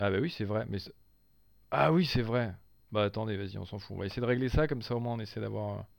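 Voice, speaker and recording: Speaking at a very fast pace yet with long, frequent pauses, a man uses an animated tone, a fairly low pitch and ordinary pitch variation. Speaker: gaming streamer. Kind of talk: live gameplay commentary.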